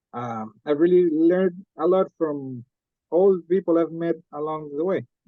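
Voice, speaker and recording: A man with a Costa Rican accent, high in pitch, at a moderate pace with ordinary pitch variation. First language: Spanish. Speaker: MBA student. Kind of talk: presentation talk. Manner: halting, with many fillers.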